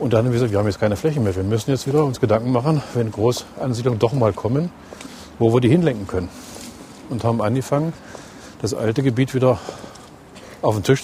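The speech comes at a very fast pace with ordinary pitch variation, broken by long, frequent pauses. Noticeable background noise runs underneath. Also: man. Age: 60s. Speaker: city mayor. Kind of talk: interview; reading aloud. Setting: in a bus and outdoors.

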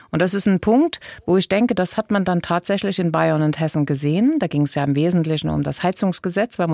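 A woman's fairly low, dark, mellow voice at a fairly quick pace, with a dry, close sound and no echo. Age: 60s. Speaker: state politician. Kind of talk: interview.

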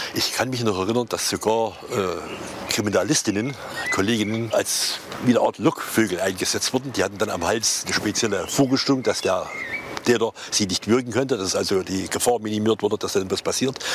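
At a fairly quick pace, a man with a medium pitch speaks with fairly even intonation amid noticeable background noise. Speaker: retired police detective. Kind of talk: interview recollection.

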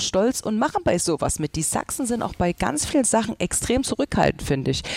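Fairly quick speech with very wide pitch swings, dry and close with no echo, over noticeable background noise. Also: woman. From Saxony, Germany. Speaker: social media dialect creator. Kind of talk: casual discussion.

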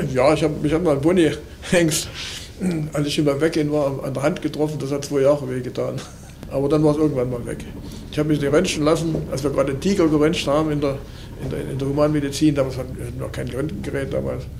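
Over noticeable background noise and audible room echo, a man speaks very fast in a flat monotone, broken by long, frequent pauses. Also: fairly high pitch for a man. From Saxony, Limbach-Oberfrohna. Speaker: retired zoo veterinarian. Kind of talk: interview. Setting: zoo school room.

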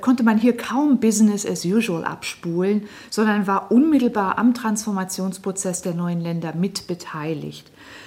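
Speaking at a moderate pace with hardly any pauses, a woman uses a medium pitch and ordinary pitch variation against noticeable background noise. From northern Germany, Lower Saxony (Lüneburg Heath). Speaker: historian. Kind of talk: radio interview. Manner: measured, with filler hesitations.

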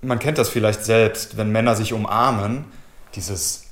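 At a moderate pace, a man speaks somewhat breathily at a fairly low pitch with fairly even intonation. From Cologne, Germany. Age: 30s. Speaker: chimney sweep. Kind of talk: interview testimony.

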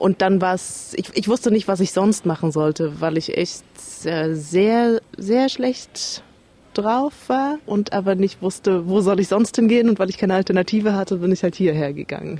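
A woman speaks with a dark, mellow tone at a medium pitch. Her pace is moderate and her pitch varies in an ordinary way. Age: 30s. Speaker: recovering alcoholic. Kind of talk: interview testimony.

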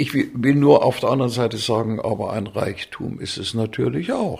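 At a moderate pace and medium pitch, a man speaks with vocal fry and ordinary pitch variation in a very clean recording with a silent background. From Thuringia, Germany (Weimar). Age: 80s+. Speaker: conductor and musicologist. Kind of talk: interview. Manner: hesitant, many fillers.

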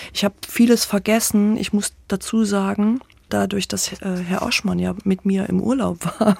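Her voice is somewhat breathy and medium in pitch. The woman keeps a moderate pace with fairly even intonation. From Thuringia, Weimar. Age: 50s. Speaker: theatre association director. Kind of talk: interview.

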